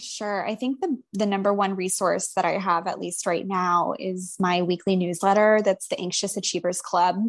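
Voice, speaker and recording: A woman with a normal speaking voice, medium pitch and fairly even intonation, at a moderate pace with hardly any pauses. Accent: American. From US South, Atlanta, Georgia. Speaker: licensed professional counselor. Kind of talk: casual interview chat.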